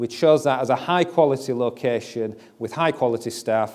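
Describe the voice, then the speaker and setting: Speaking at a fairly quick pace, a man with a Yorkshire accent keeps a medium pitch with ordinary pitch variation. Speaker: company CEO and founder. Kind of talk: investor presentation.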